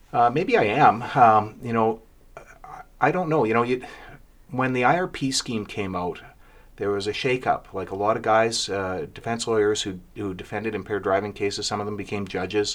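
On a very clean recording with a silent background, a man with a plain, everyday voice speaks at a moderate pace, his medium pitch showing ordinary variation. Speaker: lawyer and podcast co-host. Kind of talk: casual chat.

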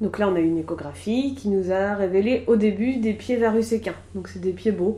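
Somewhat breathy with a dark, mellow tone, a woman speaks at a medium pitch and moderate pace with ordinary pitch variation. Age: 30s. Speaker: childminder sharing personal pregnancy loss story. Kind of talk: personal testimony interview. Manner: hesitant, many fillers.

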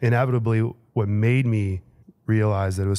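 A man speaks in a Chicago accent with a fairly low pitch. His tone is dark and mellow, and his intonation fairly even. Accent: Chicago-area American. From Chicago area, Illinois. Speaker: assistant principal. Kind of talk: interview.

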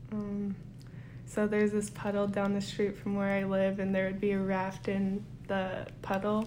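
A woman's medium-pitched voice at a moderate pace, monotone and flat in intonation, very even in loudness, with audible room echo. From Kotzebue, Alaska. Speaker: student intern. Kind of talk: interview.

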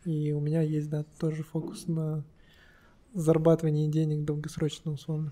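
Using a dark, mellow tone, a man speaks at a moderate pace in a fairly high voice. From Kazakhstan, Kostanay. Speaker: business owner, flower shop. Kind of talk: casual chat.

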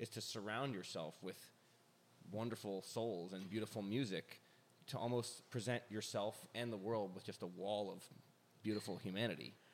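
A man with a fairly low pitch and a normal speaking voice talks at a moderate pace with ordinary pitch variation. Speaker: interviewer. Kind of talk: casual interview conversation.

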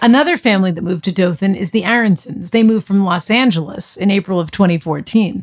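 A woman with an American accent speaks at a very fast pace and a medium pitch, somewhat breathy, with hardly any pauses. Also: ordinary pitch variation. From Boston area. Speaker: podcast co-host. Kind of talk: scripted narration.

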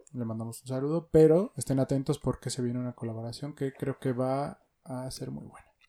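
A man's dark, mellow voice at a fairly quick pace, fairly even in intonation, dry and close with no echo. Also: medium pitch for a man. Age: 30s. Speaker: sneaker podcast host. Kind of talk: casual chat.

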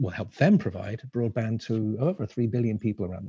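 Recorded dry and close with no echo, a man talks in a fairly low, dark, mellow and somewhat breathy voice with fairly even intonation. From Isle of Man. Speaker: space entrepreneur. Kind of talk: panel discussion.

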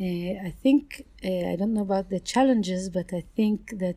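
A somewhat breathy woman, dark and mellow in tone, with fairly even intonation. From Israel. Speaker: entomologist. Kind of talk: interview.

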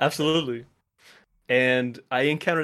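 On a very clean recording with a silent background, a plain, everyday voice shows ordinary pitch variation. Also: man. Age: 20s. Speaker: animator. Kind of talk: casual chat.

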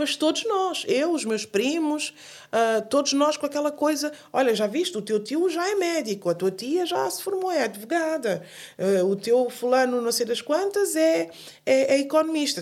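A high-pitched woman's voice at a moderate pace, with very wide pitch swings. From Guinea-Bissau. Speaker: singer and journalist. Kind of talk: interview. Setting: studio. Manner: halting.

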